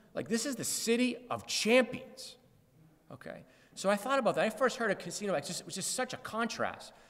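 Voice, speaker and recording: An American-accented man talks at a fairly quick pace in an extremely high pitch. His tone is animated, with ordinary pitch variation. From Massachusetts, Lawrence. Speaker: anti-gambling campaigner. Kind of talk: public talk. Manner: fast.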